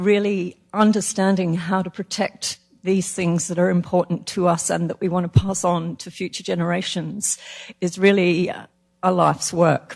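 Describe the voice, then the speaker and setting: With a flat, monotone intonation, a woman speaks in a fairly low pitch. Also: moderate pace. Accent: Australian. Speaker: panelist, heritage expert. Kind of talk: panel discussion.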